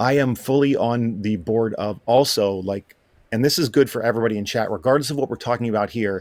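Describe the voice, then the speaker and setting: In a very clean recording with a silent background, a man with an American accent and an ordinary speaking voice talks at a fairly quick pace, with medium pitch and ordinary pitch variation. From Appalachia, US. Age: 40s. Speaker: Twitch streamer and moderator. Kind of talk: casual chat. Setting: livestreamed podcast.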